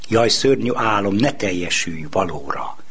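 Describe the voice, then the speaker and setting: A man with a fairly low pitch talks very slowly, his intonation lively. Noticeable background noise and audible room echo fill the recording. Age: 60s. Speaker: poet and book publisher. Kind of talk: reading aloud own poems.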